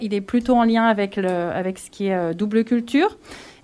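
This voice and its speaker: A woman's fairly high-pitched voice. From Grésivaudan valley near Grenoble, France. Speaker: cultural association project manager. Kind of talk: radio interview.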